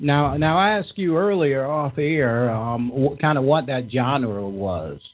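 Here is a plain, everyday voice. The man speaks at a fairly slow pace. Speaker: radio host. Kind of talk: live talk radio show with political banter. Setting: studio.

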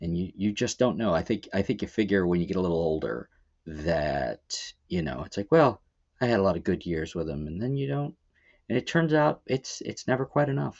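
A man with an American accent, a very deep, low pitch and very wide pitch swings, at a fairly quick pace. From Baltimore, Maryland. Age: 40s. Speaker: musician and songwriter. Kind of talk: casual chat.

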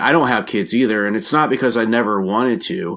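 With a normal speaking voice, a man talks fairly quickly at a medium pitch and ordinary pitch variation, recorded very cleanly against a silent background. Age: 40s. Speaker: podcaster. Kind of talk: casual chat.

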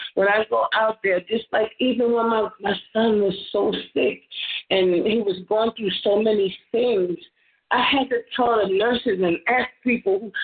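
This is an unremarkable speaking voice. The woman's pitch is fairly high. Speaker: church member. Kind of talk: testimony; prayer. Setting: phone conference call.

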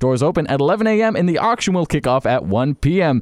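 At a moderate pace, a man speaks in an upbeat tone. His pitch swings very widely. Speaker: radio host. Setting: studio.

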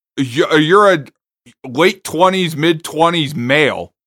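With an American accent, a man talks at a fairly slow pace in a fairly high voice with a bright, sharp tone. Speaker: podcast co-host. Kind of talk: casual chat.

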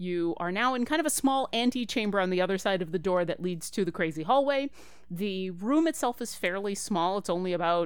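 A woman talks at a fairly quick pace in a plain, everyday voice. Her medium-pitched delivery has lively intonation. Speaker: dungeon master. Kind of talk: tabletop roleplaying game session, casual.

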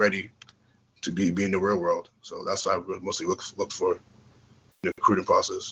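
This voice belongs to a man. His delivery moves fairly quickly. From born in UK, raised in US from age four, Ghanaian family. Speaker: football prospect. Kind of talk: interview.

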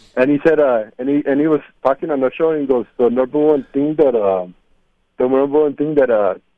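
A man's fairly high, normal speaking voice at a moderate pace, with ordinary pitch variation. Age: 30s. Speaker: caller. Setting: phone call.

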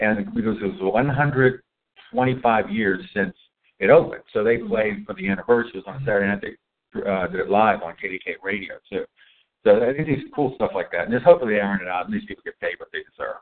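Talking at a fairly quick pace, a man speaks with a Pittsburgh accent. His loudness rises and falls sharply. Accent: Pittsburgh (Western Pennsylvania) American. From Pittsburgh, US. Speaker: podcast host and chef. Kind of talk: casual chat. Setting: coffee shop, recorded live.

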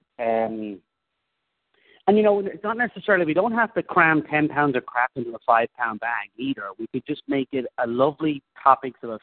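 Lively intonation colors a man's unremarkable speaking voice as he talks at a moderate pace. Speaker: committee chair. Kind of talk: formal committee meeting. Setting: video call. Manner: polite, chairing, a bit bossy.

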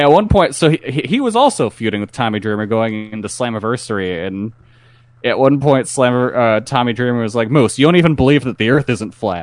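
Having a plain, everyday voice, a man talks at a fairly quick pace and medium pitch with ordinary pitch variation. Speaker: podcast co-host. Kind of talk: casual banter. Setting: online recorded show.

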